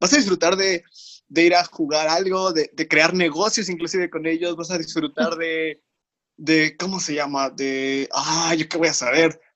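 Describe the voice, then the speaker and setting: In a Mexican accent, the speaker goes at a fairly slow pace with ordinary pitch variation, in a dry, close sound with no echo. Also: man. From Mexico, Tlaxcala. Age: 20s. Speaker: industrial engineer and podcast co-host. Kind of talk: casual chat about faith.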